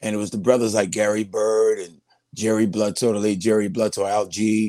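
A man with a New York accent at a moderate pace. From New York City (Brooklyn-born, raised in Queens). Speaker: radio veteran. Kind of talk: casual interview.

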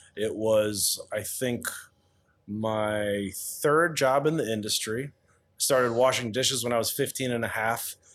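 A man's plain, everyday voice at medium pitch and a fairly slow pace, with ordinary pitch variation, on a very clean recording with a silent background. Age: 40s. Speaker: chef and pizzeria owner. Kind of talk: interview.

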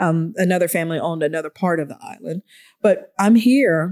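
A woman's voice in an American accent, medium in pitch, with ordinary pitch variation. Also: dry, close sound with no echo. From Atlanta, Georgia, US South. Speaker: historian and environmental advocate. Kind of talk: interview conversation. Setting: podcast studio. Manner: animated.

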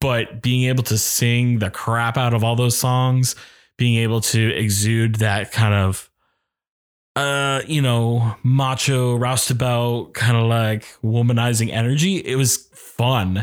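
A man with a plain, everyday voice speaks at a fairly slow pace in a medium pitch and fairly even intonation. The loudness stays very even on a very clean recording with a silent background. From Maine, US (Oxford Hills, western Maine). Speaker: actor and music director. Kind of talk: casual interview chat.

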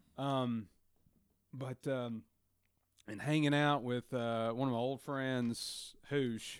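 The recording is very clean, with a silent background. A man with a Southern US accent speaks very slowly at a medium pitch. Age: 30s. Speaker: guest. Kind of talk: casual chat.

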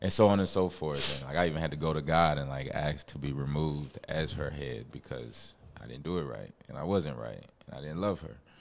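A man with a very deep, low voice and vocal fry speaks at a fairly quick pace. His pitch varies in an ordinary way, while his loudness swings widely. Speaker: audience member. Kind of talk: casual chat. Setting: studio.

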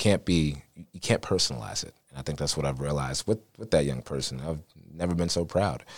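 A man's very deep, low voice at a fairly quick pace, with ordinary pitch variation and big swings in loudness. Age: 20s. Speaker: voiceover talent and law enforcement officer. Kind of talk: casual interview.

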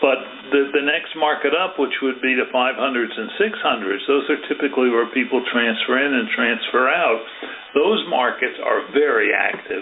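With an American accent, a man with a fairly high pitch speaks at a moderate pace over noticeable background noise. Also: ordinary pitch variation. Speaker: real estate agent hosting interview. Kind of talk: casual interview chat.

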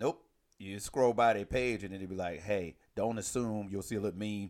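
On a very clean recording with a silent background, a man with an ordinary speaking voice talks at a fairly quick pace, his fairly low pitch showing ordinary variation. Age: 40s. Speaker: podcast co-host. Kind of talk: casual chat. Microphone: new microphone.

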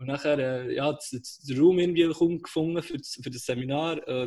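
A man's fairly high, somewhat breathy voice with fairly even intonation. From Switzerland, Aarberg (Bern). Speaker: podcast co-host, startup worker. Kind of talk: casual chat. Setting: call from home.

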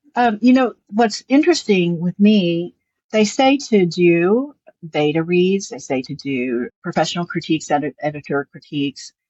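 A fairly low-pitched woman with a Southern US accent, very wide pitch swings, and a moderate pace. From US South. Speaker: lawyer and novelist. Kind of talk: interview.

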